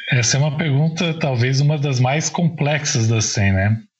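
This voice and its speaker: This man has an unremarkable speaking voice with a fairly high pitch. His intonation is lively and his pace fairly slow. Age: 40s. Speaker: journalist and author. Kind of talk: casual interview.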